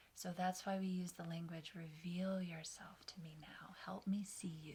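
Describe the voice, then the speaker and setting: Fairly low-pitched woman's voice, dark and mellow in tone, somewhat breathy, with monotone, flat intonation. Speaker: meditation guide. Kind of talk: guided meditation. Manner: slow, soft-spoken.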